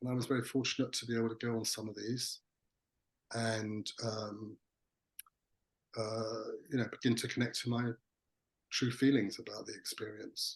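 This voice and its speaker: Somewhat breathy and at a moderate pace, the speech runs in a monotone, flat intonation broken by long, frequent pauses. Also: man, medium pitch for a man. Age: 60s. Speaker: psychotherapist. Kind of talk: interview. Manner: halting, many fillers.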